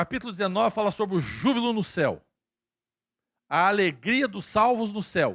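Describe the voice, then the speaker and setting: An animated, high-pitched male voice with ordinary pitch variation on a very clean recording with a silent background. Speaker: pastor. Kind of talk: sermon. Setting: church.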